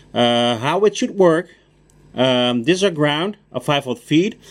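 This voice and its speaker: Speaking at a fairly slow pace with a Dutch accent, a man swings his pitch very widely. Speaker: car mechanic. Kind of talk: tutorial. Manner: casual.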